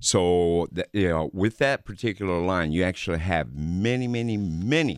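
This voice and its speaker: Recorded dry and close with no echo, a man's very deep, low voice moves with lively intonation. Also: very clean recording, silent background. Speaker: window salesperson. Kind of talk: casual radio interview. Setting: radio studio.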